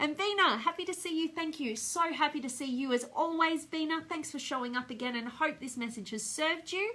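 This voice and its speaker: A woman with an Australian accent, high-pitched, raised and projected, bright and sharp in tone, lively in intonation, at a fairly quick pace with hardly any pauses. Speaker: speaker trainer and coach. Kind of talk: live stream motivational talk with viewer comments. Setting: Facebook live video. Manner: animated.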